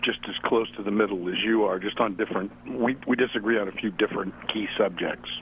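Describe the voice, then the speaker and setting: Noticeable background noise sits behind this recording. A man speaks fairly low and fairly quickly, with fairly even intonation. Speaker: caller. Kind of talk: casual phone conversation. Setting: phone call.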